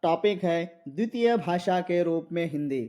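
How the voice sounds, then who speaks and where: A man speaks at a high pitch with a Marathi accent. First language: Marathi (speaking Hindi). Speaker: Hindi exam-prep teacher. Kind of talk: lecture. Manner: repetitive, with many fillers.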